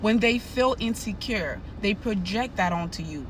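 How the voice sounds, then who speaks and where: With an animated tone and ordinary pitch variation, a woman speaks at a medium pitch amid audible room echo. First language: not English. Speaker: nurse and narcissism educator. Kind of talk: advice monologue to camera.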